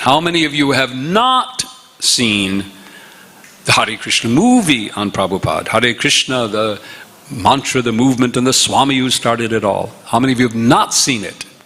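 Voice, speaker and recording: Against noticeable background noise, a man with an American accent speaks at a moderate pace and medium pitch with ordinary pitch variation. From upstate New York, US. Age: 70s. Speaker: visiting monk lecturer. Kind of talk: religious lecture.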